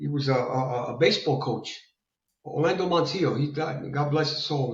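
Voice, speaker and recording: A somewhat breathy man with a New York accent and a fairly high pitch talks at a moderate pace with ordinary pitch variation, with audible room echo. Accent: sounds like a New Yorker. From Italy. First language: Italian. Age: 60s. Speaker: fitness enthusiast. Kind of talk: interview. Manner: repetitive, halting.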